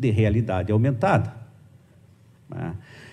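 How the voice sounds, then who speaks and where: Audible room echo accompanies a man speaking at a medium pitch. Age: 50s. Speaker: journalism professor. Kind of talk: conference lecture. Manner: hesitant, many fillers.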